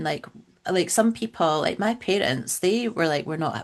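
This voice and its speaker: Speaking with a Scottish accent, a woman uses lively intonation at a medium pitch and a moderate pace. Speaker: funeral celebrant. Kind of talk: podcast interview answer.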